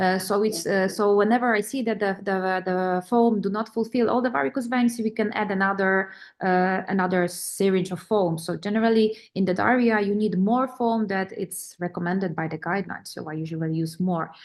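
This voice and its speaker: A woman with a Polish accent talks at a fairly quick pace with hardly any pauses, her medium-pitched voice showing ordinary pitch variation against a quiet background. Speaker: vein specialist doctor. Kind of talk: webinar panel discussion. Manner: halting.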